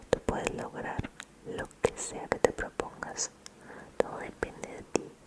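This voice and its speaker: Whispering at a very slow pace, a woman is heard against noticeable background noise. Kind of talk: ASMR soft-spoken reading and whispering to help sleep. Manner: soft-spoken, whispering.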